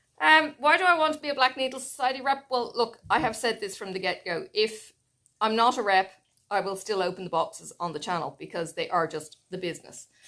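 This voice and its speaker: Speaking at a fairly quick pace with an Irish accent, a woman uses a fairly high, bright, sharp voice with very wide pitch swings. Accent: Irish, noticeable. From Ireland. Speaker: flosstube crafter (cross-stitch YouTuber). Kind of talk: casual vlog chat.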